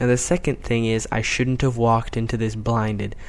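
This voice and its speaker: Quiet and medium in pitch, a man speaks at a moderate pace. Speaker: gaming commentator. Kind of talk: video game commentary. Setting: at home, late at night. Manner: quiet, keeping voice down.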